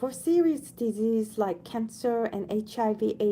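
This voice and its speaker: A woman with a non-native accent, a fairly high pitch and a dark, mellow tone. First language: not English. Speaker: audiobook reader, channel owner. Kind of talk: reading aloud; casual chat. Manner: halting, with self-corrections.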